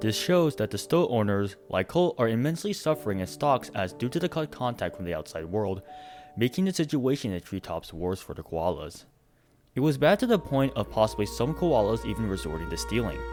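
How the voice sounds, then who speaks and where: The speaker talks at a fairly quick pace. Music plays in the background. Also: man. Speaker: voice actor. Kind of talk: video essay narration.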